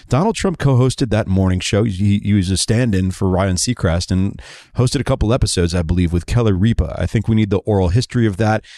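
At a very fast pace with hardly any pauses, a dark, mellow voice holds very even loudness and ordinary pitch variation in a very clean, dry, close recording with no echo and a silent background. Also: man, fairly low pitch for a man. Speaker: podcast host. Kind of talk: interview and news commentary.

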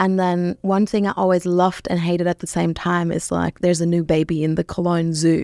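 A woman with a German accent speaks at a fairly quick pace in a monotone, flat intonation and fairly low pitch, in a very clean recording with a silent background. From Germany, Rhineland (Bonn). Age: 30s. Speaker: social media marketing strategist. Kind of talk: interview. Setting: studio.

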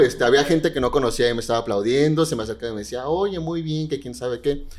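A man's fairly high-pitched voice against noticeable background noise. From Mexico. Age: 20s. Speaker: drag queen. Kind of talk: casual chat.

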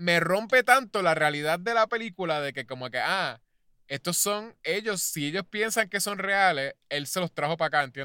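A man with a high voice speaks at a moderate pace, his tone bright and sharp and his intonation lively, in a dry, close recording with no echo that is very clean over a silent background. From Puerto Rico. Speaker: podcast co-host. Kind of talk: casual chat.

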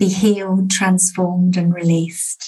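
A woman talks at a medium pitch in a warm, calm, somewhat breathy tone. Her intonation stays flat and monotone. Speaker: success coach and podcast host. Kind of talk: guided meditation and prayer. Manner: calm, soothing, slow and gentle; warm, inviting, uplifting.

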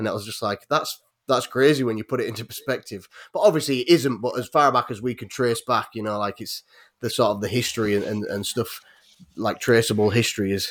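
A man with a Yorkshire accent at a medium pitch and fairly quick pace, with fairly even intonation. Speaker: YouTuber who makes weapons. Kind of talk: casual chat. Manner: laughs often.

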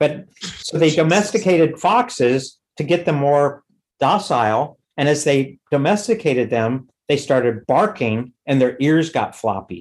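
A normal speaking voice from a man with an American accent, fairly high in pitch, fairly slow, with lively intonation and very even loudness. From US West Coast, Los Angeles. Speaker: punk drummer. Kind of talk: casual chat.

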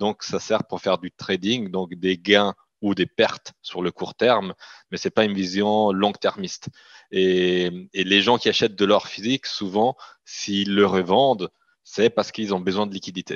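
Monotone, flat delivery at a fairly slow pace, with a dry, close sound with no echo and a quiet background. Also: man, fairly low pitch for a man. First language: Italian (speaking French). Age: 30s. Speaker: company CEO. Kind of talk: interview.

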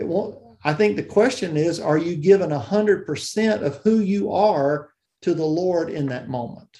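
Speaking slowly-ish with a Southern US accent, a man with a high pitch and a dark, mellow tone uses lively intonation. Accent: Southern US (Georgia). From US South, South Georgia. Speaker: church music and worship leader. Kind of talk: interview.

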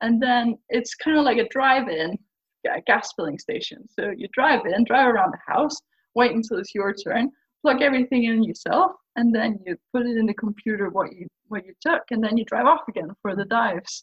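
Her Faroese accent carries lively intonation at a fairly high pitch. The woman's loudness swings widely. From Faroe Islands. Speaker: scuba diver and brand ambassador. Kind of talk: casual podcast interview. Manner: fast talker, excitable about diving.

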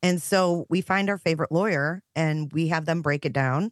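A woman with an American accent speaks in a fairly low voice with ordinary pitch variation. The sound is dry and close with no echo, against a quiet background. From US Midwest, Michigan. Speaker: true crime YouTuber. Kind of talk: casual interview.

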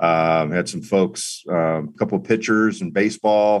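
With an American accent and a normal speaking voice, a man talks at a fairly slow pace. His pitch is fairly low and his intonation fairly even. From New York City, then South Florida. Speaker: former TV journalist, public relations professional. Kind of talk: casual interview.

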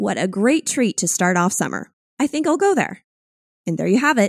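A woman's fairly high voice with very wide pitch swings, at a fairly quick pace, in a dry, close sound with no echo. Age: 30s. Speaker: podcast host and sound branding producer. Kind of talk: scripted narration.

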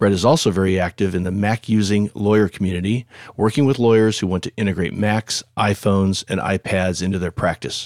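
Pitched fairly low, a man with a plain, everyday voice speaks at a fairly quick pace with hardly any pauses and fairly even intonation. The recording is very clean and dry, close with no echo, over a silent background. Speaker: podcast host. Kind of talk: casual professional discussion.

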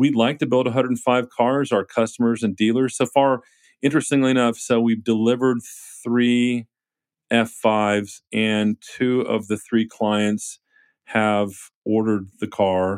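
An ordinary speaking voice: a man with a medium pitch and an American accent speaks at a fairly slow pace with fairly even intonation and very even loudness. The sound is dry and close with no echo, on a very clean recording with a silent background. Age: 50s. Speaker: car maker founder. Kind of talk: interview.

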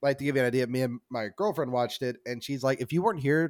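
Over a silent background, a man talks at a very fast pace with ordinary pitch variation, recorded very cleanly with a dry, close sound and no echo. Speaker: podcaster. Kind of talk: casual chat.

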